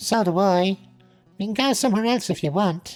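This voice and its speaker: Using a put-on character voice, a woman speaks at a moderate pace with ordinary pitch variation while faint music plays in the background. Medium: audio drama. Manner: direct, sweetly teasing.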